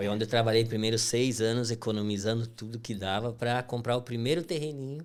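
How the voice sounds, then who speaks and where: In an inland Brazilian accent, a man speaks at a fairly quick pace with hardly any pauses, a medium pitch and fairly even intonation. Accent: rural inland Brazilian. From Brazil, western Santa Catarina countryside (Princesa). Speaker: construction company owner. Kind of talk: podcast interview.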